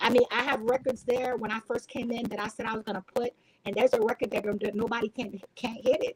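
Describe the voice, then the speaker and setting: In a Haitian accent, a woman talks very fast in a fairly high, flat monotone, with a dry, close sound and no echo. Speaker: entrepreneur and sales professional. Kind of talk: casual chat. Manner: halting.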